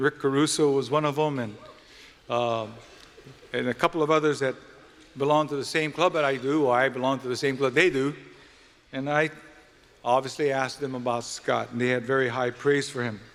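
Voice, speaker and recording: A man with a Hawaiian accent speaks at a fairly quick pace in a medium pitch, with fairly even intonation. He leaves long, frequent pauses. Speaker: event emcee. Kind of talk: formal event speech.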